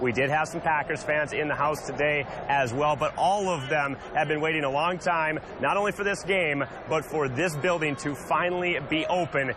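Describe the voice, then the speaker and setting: Speaking at a moderate pace, a man with a fairly high pitch keeps very even loudness and fairly even intonation over noticeable background noise. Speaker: sports anchor and reporter. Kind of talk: live on-location reporter.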